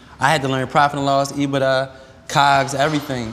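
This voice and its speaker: A man speaks in an American accent at a medium pitch, with noticeable background noise behind him. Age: 30s. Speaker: restaurant entrepreneur. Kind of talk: casual chat.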